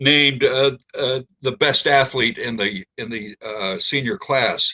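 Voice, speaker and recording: A man speaks in a bright, sharp tone with ordinary pitch variation. The sound is dry and close, with no echo. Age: 90s. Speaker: poet. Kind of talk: poetry reading; casual spoken introduction to a poem. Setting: online video reading. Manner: halting, many fillers.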